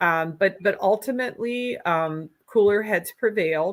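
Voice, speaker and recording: On a very clean recording with a silent background, a woman with a strong Minnesota accent talks at a medium pitch with ordinary pitch variation. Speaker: political candidate. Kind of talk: interview.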